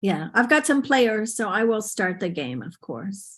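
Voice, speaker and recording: Against a quiet background, a woman with an unremarkable speaking voice talks at a fairly slow pace and a fairly high pitch. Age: 60s. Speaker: conference presenter, teacher trainer. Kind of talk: webinar presentation. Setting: video call. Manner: informal.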